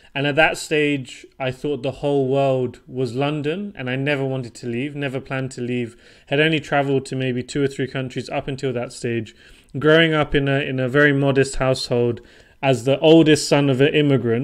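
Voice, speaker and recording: Against a quiet background, a man talks with a British accent at a medium pitch. He moves at a fairly quick pace in a monotone, flat intonation. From southern England, Portsmouth. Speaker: property investor. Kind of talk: podcast interview.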